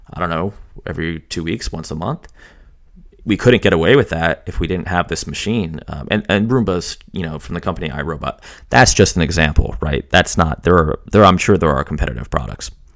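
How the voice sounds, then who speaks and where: Fairly quick speech from a man with a very deep, low voice, vocal fry, lively intonation and big swings in loudness. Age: 30s. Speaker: podcast host and software consultant. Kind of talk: solo podcast monologue. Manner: casual, with many fillers.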